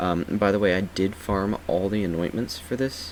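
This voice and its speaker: Soft-spoken and very deep, a man talks at a moderate pace with ordinary pitch variation. Noticeable background noise runs underneath. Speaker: gaming YouTuber. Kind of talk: game build tutorial. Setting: at home late at night. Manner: quiet, speaking softly; casual with many fillers.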